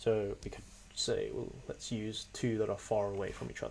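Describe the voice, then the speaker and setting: Moderately paced talk amid noticeable background noise. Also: man. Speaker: computer science student. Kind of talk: software demo walkthrough.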